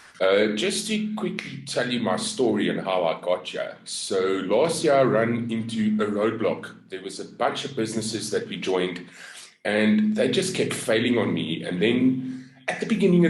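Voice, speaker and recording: With an American accent and lively intonation, a man speaks in a space with audible room echo. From South Africa. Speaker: network marketer. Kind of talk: business pitch and story. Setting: group video call.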